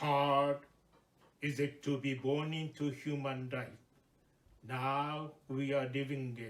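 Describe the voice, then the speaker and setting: Speaking at a very slow pace with long, frequent pauses, a man with a fairly high pitch keeps a monotone, flat intonation in a room with audible echo. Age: 80s+. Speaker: Buddhist minister. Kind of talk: sermon. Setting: temple service.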